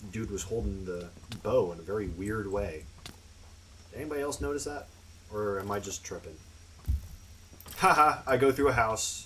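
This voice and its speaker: At a moderate pace, a man with a fairly low pitch mumbles with lively intonation and long, frequent pauses, his voice carrying audible room echo. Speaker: gaming youtuber. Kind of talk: gameplay commentary. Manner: mumbling; casual.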